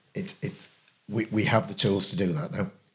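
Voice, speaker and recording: The voice carries vocal fry and very wide pitch swings. Its pace is moderate. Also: man. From Yorkshire, Harrogate. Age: 60s. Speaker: rugby league club chairman. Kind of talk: casual podcast chat.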